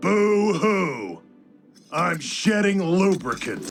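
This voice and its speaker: A put-on character voice shouts at a middle pitch and a very slow pace. Music plays in the background. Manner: sobbing, exaggerated crying.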